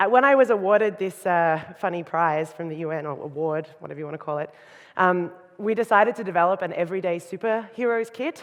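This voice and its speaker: A woman with an Australian accent talks at a fairly quick pace. Her pitch is medium, with ordinary pitch variation. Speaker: designer and keynote speaker. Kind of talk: conference talk. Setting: stage with audience. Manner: fast.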